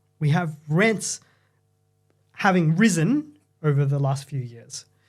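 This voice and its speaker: Very slow male speech in an Australian accent, fairly high-pitched with ordinary pitch variation, music in the background. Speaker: property market commentator. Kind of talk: podcast discussion.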